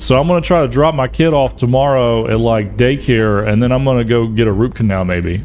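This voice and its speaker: A man with an American accent speaks at a medium pitch. There is audible room echo along with noticeable background noise. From US South. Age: 40s. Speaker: gaming streamer. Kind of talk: casual chat. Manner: animated.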